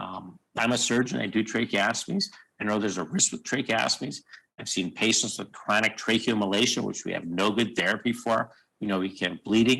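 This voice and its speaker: A man talks at a very fast pace in a medium pitch. His tone is bright and sharp. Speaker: surgeon. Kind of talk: conference lecture. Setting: video call.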